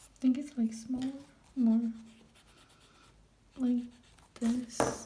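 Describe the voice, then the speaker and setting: Soft-spoken and monotone with flat intonation, a woman with a high pitch speaks at a very slow pace over noticeable background noise. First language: not English. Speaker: art vlogger. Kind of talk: casual drawing commentary. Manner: halting.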